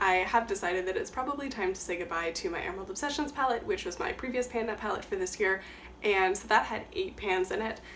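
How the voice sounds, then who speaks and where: At a very fast pace, a woman with a fairly high pitch and lively intonation speaks over noticeable background noise. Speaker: beauty YouTuber. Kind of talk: casual talk to camera.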